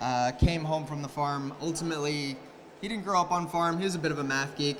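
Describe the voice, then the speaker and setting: In a Canadian accent, a speaker talks at a moderate pace with fairly even intonation, audible room echo and noticeable background noise. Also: man. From Canada. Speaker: agritech company representative, conference speaker. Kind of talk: conference talk. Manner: hesitant, many fillers and repeated words.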